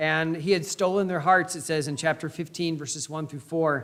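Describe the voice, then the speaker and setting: With a Midwestern US accent, a man talks at a fairly quick pace using ordinary pitch variation. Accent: US Midwest. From Indiana, US Midwest. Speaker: pastor. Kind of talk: sermon.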